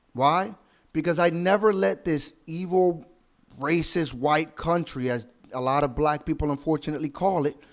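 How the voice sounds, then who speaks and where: A fairly high-pitched man talks at a moderate pace. His pitch variation is ordinary. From outside the US, immigrant. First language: not English. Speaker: commentary YouTuber. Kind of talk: reaction commentary.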